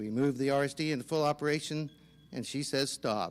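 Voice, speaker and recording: A man speaks at medium pitch with an American accent and fairly even intonation. The recording is very clean, with a silent background. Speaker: county council candidate, farmer and business owner. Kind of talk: candidate forum speech. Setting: public forum with audience. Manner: loud.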